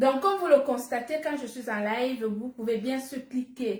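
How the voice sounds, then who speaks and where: Speaking very slowly, a woman uses ordinary pitch variation. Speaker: businesswoman selling supplements. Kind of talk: live-stream sales pitch. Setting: live stream.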